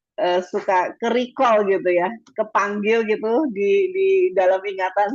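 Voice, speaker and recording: With a slight Madurese accent, a woman speaks fairly slowly at a medium pitch with lively intonation. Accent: slight Madurese tinge. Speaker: webinar speaker on educational communication. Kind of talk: lecture. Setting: video call. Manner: casual, chatty.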